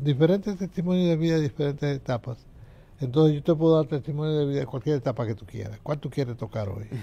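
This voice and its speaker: At a very fast pace, a man talks in a fairly high pitch with a dark, mellow tone, somewhat breathy, with ordinary pitch variation. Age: 80s+. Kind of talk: life testimony interview. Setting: TV studio.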